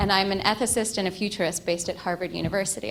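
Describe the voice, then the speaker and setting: The speech comes at a fairly quick pace, with room echo audible. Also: woman. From Egypt. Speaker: ethicist and futurist. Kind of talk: conference keynote.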